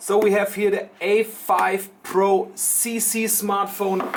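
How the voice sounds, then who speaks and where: Someone with a German accent speaks at a very slow pace over noticeable background noise. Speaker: tech shop presenter. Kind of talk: product unboxing demo.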